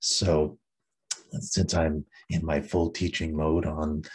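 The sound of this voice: Breathy and raspy with a slightly husky edge, a man speaks at a slow pace with an extremely low pitch and little pitch movement.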